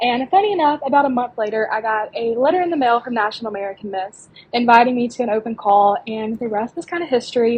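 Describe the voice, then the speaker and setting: With an Alabama accent, a woman talks at a very fast pace in a high pitch, using ordinary pitch variation. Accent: Southern US (Alabama). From US South, small-town Alabama. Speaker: pageant contestant. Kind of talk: podcast interview.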